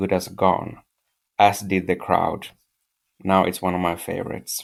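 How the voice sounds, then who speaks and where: The recording is very clean and the background silent. Speaking is a man with a non-native accent. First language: not English. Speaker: listener, fan. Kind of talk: interview.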